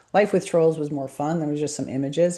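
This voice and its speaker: With a quiet background, a woman speaks in a very deep, low pitch and a dark, mellow tone, her pitch variation ordinary. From Montreal, Quebec, Canada. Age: 50s. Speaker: business coach and brand strategist. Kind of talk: interview self-introduction.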